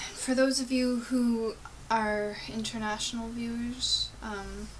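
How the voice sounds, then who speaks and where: In a Canadian accent, the speaker talks at a very slow pace with monotone, flat intonation, amid audible room echo and noticeable background noise. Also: woman, fairly high pitch for a woman. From Gatineau, Quebec, Ottawa area, Canada. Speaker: vlogger. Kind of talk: casual vlog monologue. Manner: halting.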